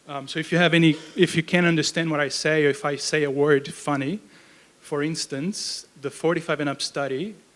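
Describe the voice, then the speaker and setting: This man talks fairly quickly with a Brazilian accent, his fairly high pitch held to fairly even intonation. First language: Portuguese. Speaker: research program manager. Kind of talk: lecture. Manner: casual, with fillers.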